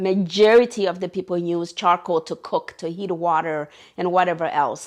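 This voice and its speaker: A woman with an American accent speaks in a quiet setting. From Oregon, US. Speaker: charity founder. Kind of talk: interview testimony. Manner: halting.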